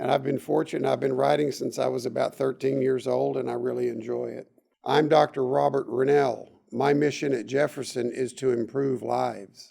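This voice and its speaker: A man with an American accent, at a moderate pace and with hardly any pauses. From Texas. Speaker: doctor. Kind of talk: interview.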